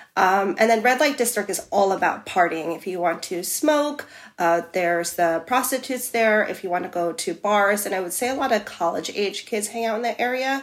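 Speaking with a New York accent, a woman uses a medium pitch and lively intonation at a moderate pace, with hardly any pauses. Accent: New York American. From US, New York City. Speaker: expat living in Amsterdam. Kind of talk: casual interview.

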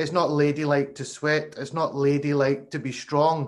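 A man in a Glasgow accent, his pitch fairly high. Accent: Glasgow Scottish. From Glasgow, Scotland. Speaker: podcast host, former cricketer. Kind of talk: interview. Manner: hesitant, many fillers.

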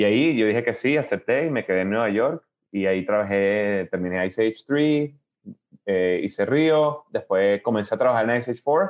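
A man's medium-pitched voice at a moderate pace, with lively intonation and very even loudness. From Venezuela (Caracas), then Miami from age 10-11. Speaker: animation director. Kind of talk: interview. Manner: hesitant, many fillers and repetitions.

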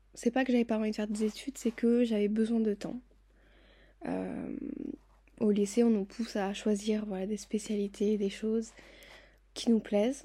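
Somewhat breathy and fairly high in pitch, a woman speaks at a moderate pace with a dark, mellow tone. Her intonation is fairly even, broken by long, frequent pauses. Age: 20s. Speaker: podcast host. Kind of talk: personal monologue.

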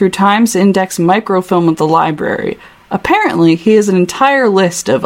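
In a natural reading voice, the words come with ordinary pitch variation.

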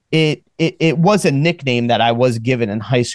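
A plain, everyday voice from a man at medium pitch, moderate pace and ordinary pitch variation, with a dry, close sound and no echo. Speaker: podcast host. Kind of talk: casual chat.

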